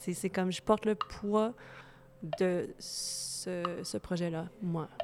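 A soft-spoken woman talks at a medium pitch with ordinary pitch variation. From Manitoba, Canada. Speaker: singer-songwriter. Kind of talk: interview. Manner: hesitant.

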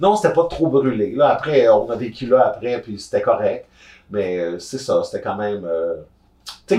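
A man speaks in a Quebec accent at a moderate pace. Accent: Québécois French. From Gatineau, Quebec. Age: 30s. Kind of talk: casual chat. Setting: on a sofa, in person.

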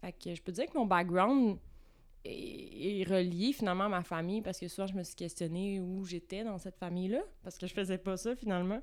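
With a plain, everyday voice, a woman talks at a fairly quick pace in a medium pitch with ordinary pitch variation. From Quebec, Vaudreuil-Dorion near Montreal. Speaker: visual artist. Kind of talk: casual interview. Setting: recording space with coffee.

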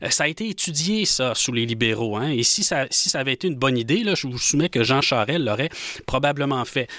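A man's bright, sharp voice with lively intonation, in a dry, close sound with no echo. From Quebec, Rouyn-Noranda. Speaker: nationalist association leader, political commentator. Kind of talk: political panel discussion. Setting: studio.

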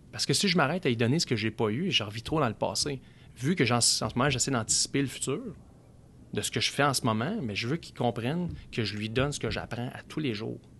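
A man talks very fast, his pitch medium and varying in an ordinary way. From Quebec, Outaouais. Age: 30s. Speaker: car dealership sales director. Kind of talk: casual interview chat.

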